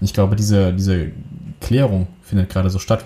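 Somewhat breathy, a man talks at a fairly quick pace. His pitch is fairly low. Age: 30s. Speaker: film and video producer. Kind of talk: casual chat. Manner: hesitant, many filler sounds.

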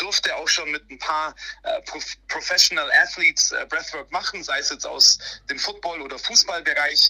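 A man talks at a fairly slow pace. Noticeable background noise runs through the clip. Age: 30s. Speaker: breathwork coach. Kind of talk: interview. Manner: animated.

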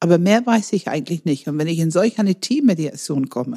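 With a non-native accent, a woman with a fairly low pitch speaks in a dark, mellow, somewhat breathy tone and lively intonation, recorded dry and close with no echo. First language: not German (speaking German). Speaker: enneagram coach and trainer. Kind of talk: podcast conversation.

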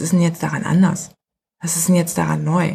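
Talking at a very fast pace, a woman uses vocal fry at a fairly low pitch. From Germany. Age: 40s. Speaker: music PR agency owner. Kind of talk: interview.

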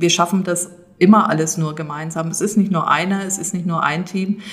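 Over noticeable background noise and audible room echo, a woman speaks in a flat, monotone way. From Rhön region, Germany. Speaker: landscape conservation manager. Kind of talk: interview. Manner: halting, many fillers.

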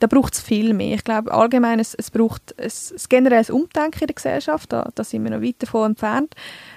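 Her pitch fairly high, a woman talks at a fairly quick pace with ordinary pitch variation in a dry, close sound with no echo. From central Switzerland, Canton Uri. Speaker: communications staff, podcast co-host. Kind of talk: casual chat. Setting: studio. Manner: clear articulation.

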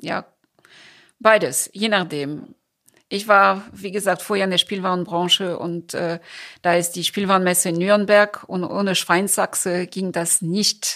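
With a French accent, a woman speaks in a bright, sharp tone at a fairly slow pace with fairly even intonation. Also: medium pitch for a woman, very clean recording, silent background. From France. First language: French (speaking German). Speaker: cultural association founder. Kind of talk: interview.

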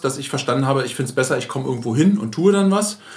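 Talking at a very fast pace with ordinary pitch variation, a man is heard with audible room echo. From Berlin. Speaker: podcast host, agency owner. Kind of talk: casual chat. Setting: in guest's agency office.

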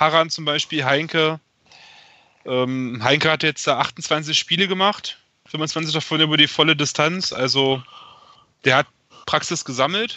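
Long, frequent pauses break up this man's speech. His pitch sits fairly high. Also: ordinary pitch variation. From Germany, Magdeburg. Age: 30s. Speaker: football fan, podcast guest. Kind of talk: casual chat. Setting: remote call.

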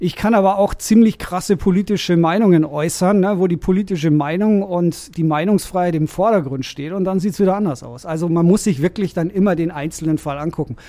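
This man speaks in a high pitch with ordinary pitch variation. He has a slight Bavarian accent. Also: fairly quick pace. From Bavaria, Germany (Rosenheim, Upper Bavaria). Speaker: lawyer and DJ. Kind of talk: casual interview conversation.

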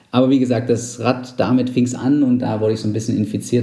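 With audible room echo and noticeable background noise, a man's ordinary pitch variation carries through his very fast delivery. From Saxony-Anhalt, eastern Germany. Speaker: amateur cyclist and team founder. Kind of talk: casual interview. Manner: hesitant with fillers.

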